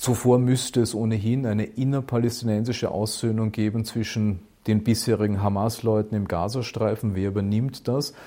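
Medium in pitch, this man's voice has a dark, mellow tone. He speaks at a moderate pace with fairly even intonation. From Austria, Burgenland. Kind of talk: interview.

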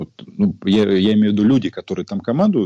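Quiet background, a man's fairly low voice with a dark, mellow tone and lively intonation. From Ukraine. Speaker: journalist. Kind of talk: casual chat. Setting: video call.

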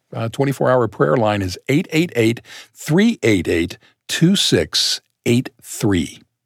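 This man's voice sits at a medium pitch, with vocal fry and very wide pitch swings. The sound is dry and close, with no echo. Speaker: podcast co-host. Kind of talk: scripted narration.

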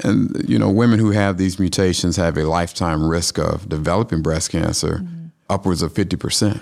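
A man's very deep, low voice in a Southern US accent, fairly quick, with ordinary pitch variation and very even loudness. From Atlanta, Georgia. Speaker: oncologist. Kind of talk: interview.

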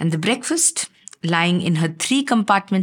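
A woman's fairly low, somewhat breathy voice at a fairly slow pace, with ordinary pitch variation. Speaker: writer reading her own chapter. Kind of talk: literary audiobook reading, first-person memoir with dialogue.

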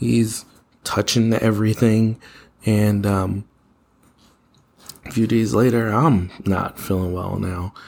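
Against a very clean recording with a silent background, a man speaks at a very slow pace with long, frequent pauses and fairly even intonation. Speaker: podcast host. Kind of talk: casual monologue. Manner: hesitant, many fillers.

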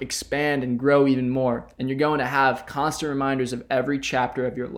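A normal speaking voice from a man, fairly high in pitch, at a moderate pace. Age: 20s. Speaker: podcast host, college student. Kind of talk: solo podcast monologue.

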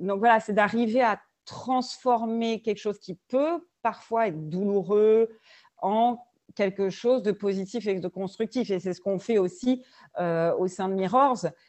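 A woman at a medium pitch talks fairly slowly, and her pitch varies in an ordinary way. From France, various cities. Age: 40s. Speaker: business founder and leadership trainer. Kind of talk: podcast interview. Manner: hesitant, many fillers and repetitions.

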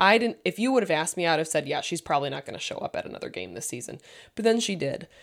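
A woman talks at a very fast pace with a fairly low pitch, very wide pitch swings and big swings in loudness. The recording is very clean, with a silent background. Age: 30s. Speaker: podcast co-host. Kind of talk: casual chat.

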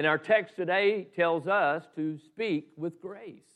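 Against a quiet background, a man with a Southern US accent speaks at a very slow pace with lively intonation. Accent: Southern US (Georgia). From US South, Southeast Georgia. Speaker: pastor. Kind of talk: sermon.

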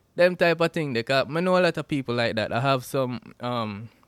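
With a Jamaican accent and lively intonation, a man talks at a medium pitch, the sound dry and close with no echo. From Jamaica (Westmoreland). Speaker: podcast host. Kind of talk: solo podcast intro, casual chat. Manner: casual, informal.

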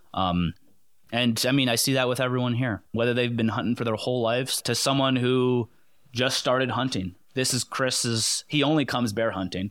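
Here a man with an American accent uses a plain, everyday voice at a medium pitch and moderate pace. His intonation is fairly even, his loudness very even, and the recording very clean with a silent background. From Connecticut. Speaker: hunter and public land advocate. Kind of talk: casual chat.

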